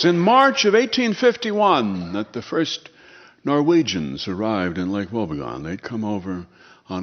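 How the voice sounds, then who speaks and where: A man talks at a fairly low pitch. His voice moves through very wide pitch swings. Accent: Midwestern. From Minnesota, USA. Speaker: radio host and humorist. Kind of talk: humorous storytelling performance.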